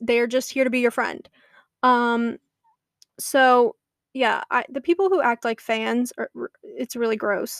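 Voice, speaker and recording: Recorded very cleanly against a silent background, with a dry, close sound and no echo, a woman talks at a high pitch and a moderate pace. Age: 20s. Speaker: social media creator and podcast host. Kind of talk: casual monologue.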